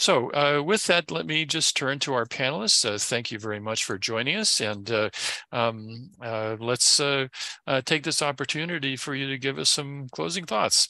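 A man speaks fairly slowly with lively intonation, a medium pitch and a bright, sharp tone, in a dry sound with no echo. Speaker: webinar moderator. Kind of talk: moderating a panel. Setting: video call. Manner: halting. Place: home room. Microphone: headset.

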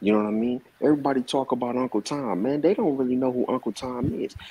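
A man with an American accent at medium pitch. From Compton, California; California. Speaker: commentator. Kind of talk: heated debate. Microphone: video call.

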